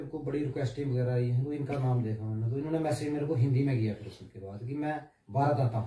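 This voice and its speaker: A man speaks at a moderate pace. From Jammu region, India. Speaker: wrestler and police sportsman. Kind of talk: interview. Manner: halting.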